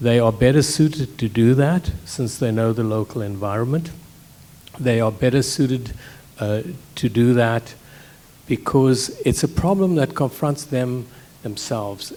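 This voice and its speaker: A man's medium-pitched voice, dark and mellow in tone, with ordinary pitch variation and long, frequent pauses. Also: fairly slow pace. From South Africa. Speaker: scientist. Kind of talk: panel discussion.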